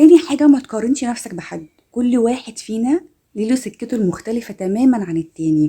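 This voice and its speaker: With an Egyptian accent, a woman speaks at a fairly quick pace and fairly high pitch, her very wide pitch swings carried by a warm tone and a dark, mellow tone. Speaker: self-help content creator. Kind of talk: motivational self-help talk to camera. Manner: warm, encouraging.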